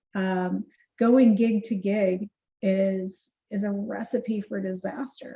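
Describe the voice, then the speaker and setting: With a dark, mellow tone and a somewhat breathy quality, a woman speaks at a medium pitch with fairly even intonation. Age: 60s. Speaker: keynote speaker and marketing CEO. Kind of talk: podcast interview.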